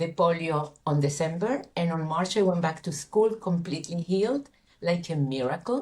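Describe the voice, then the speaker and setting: A woman's somewhat breathy voice, fairly low in pitch. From Chile. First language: Spanish. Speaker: coach. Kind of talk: interview testimony. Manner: halting.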